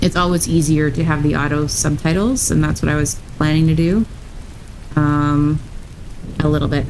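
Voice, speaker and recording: A woman's very deep, low voice at a fairly quick pace, with long, frequent pauses and very even loudness, amid audible room echo and noticeable background noise. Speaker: streamer. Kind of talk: reading aloud. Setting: livestream.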